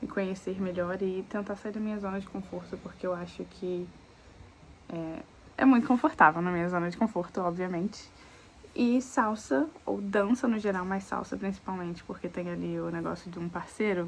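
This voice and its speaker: A woman with a plain, everyday voice, medium pitch and moderate pace. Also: ordinary pitch variation. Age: 20s. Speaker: lifestyle vlogger. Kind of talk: casual vlog talk to camera. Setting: outdoors.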